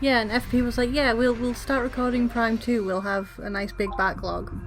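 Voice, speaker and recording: Music plays in the background as a woman speaks with an English accent. Her pitch is fairly high and her intonation fairly even. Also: moderate pace. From England. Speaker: gaming let's play co-commentator. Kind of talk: casual chat.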